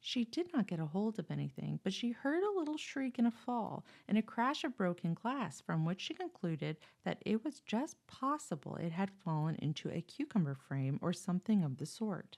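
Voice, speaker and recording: Soft-spoken, a woman swings very widely in pitch on a very clean recording with a silent background and a dry, close sound with no echo. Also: medium pitch for a woman, moderate pace, hardly any pauses. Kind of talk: bedtime story.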